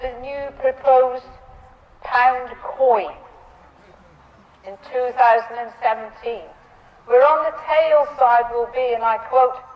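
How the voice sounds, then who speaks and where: A woman at a very slow pace with long, frequent pauses, ordinary pitch variation, big swings in loudness and noticeable background noise. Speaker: Grand Bard of a Cornish cultural ceremony. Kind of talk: ceremonial speech to an audience.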